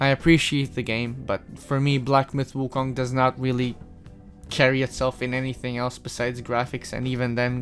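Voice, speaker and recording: A man speaks at a medium pitch and a moderate pace. His intonation is flat and monotone, with music playing in the background. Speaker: gaming reviewer. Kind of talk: casual game review talk. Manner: casual, rambling.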